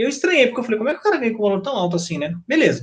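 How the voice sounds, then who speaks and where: This is a man speaking. His voice is high-pitched. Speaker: former public procurement officer, trainer. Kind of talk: casual panel chat. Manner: halting, many self-corrections.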